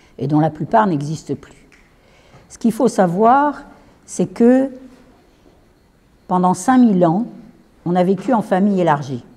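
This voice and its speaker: A woman speaks at a fairly slow pace in a medium pitch, somewhat breathy, with long, frequent pauses. Her pitch swings very widely and her loudness shifts a lot. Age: 70s. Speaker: retired teacher giving a talk. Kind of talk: lecture. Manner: conversational.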